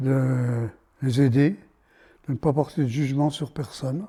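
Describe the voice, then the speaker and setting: Very slow and somewhat breathy, a man speaks with a fairly high pitch, a dark, mellow tone and ordinary pitch variation. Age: 80s+. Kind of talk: interview answer.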